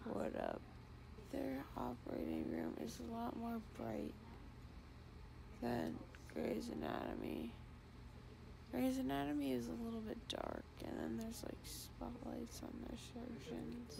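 Noticeable background noise runs under the clip. A woman speaks with long, frequent pauses. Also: fairly slow pace. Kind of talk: casual chat. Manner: groggy, slurred post-anesthesia speech. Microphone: phone near.

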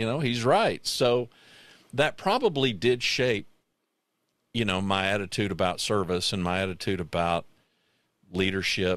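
The speaker keeps a moderate pace with long, frequent pauses and ordinary pitch variation. The sound is dry with no echo, over a quiet background. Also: man, fairly low pitch for a man. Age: 60s. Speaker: podcast host. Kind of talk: casual chat. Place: home room. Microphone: studio mic.

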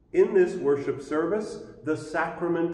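A man talks amid light background noise, the room echo audible. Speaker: pastor. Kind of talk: church announcements. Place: church.

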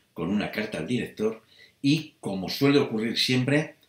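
A man speaks at a moderate pace against a quiet background. Room echo is audible. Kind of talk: casual vlog chat. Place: home room. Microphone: webcam.

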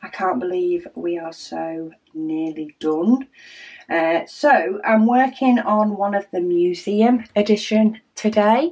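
There is a quiet background as a woman with a dark, mellow tone speaks at a very slow pace. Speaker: craft video host. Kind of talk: casual vlog chat. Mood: cheerful, relaxed.

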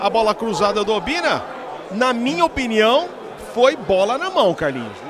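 A man talks in an animated tone with lively intonation. Noticeable background noise is present. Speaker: football match commentator. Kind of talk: live football commentary. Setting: stadium commentary with sponsor ad reads. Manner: excitable, animated, shouting goal calls.

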